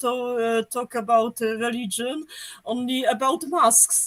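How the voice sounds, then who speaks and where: With a Polish accent, the speaker goes at a very slow pace. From Poland. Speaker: viewer caller. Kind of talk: live call-in comment. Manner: halting, many hesitations.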